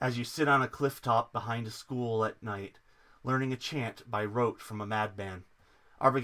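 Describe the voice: The clip is plain reading aloud.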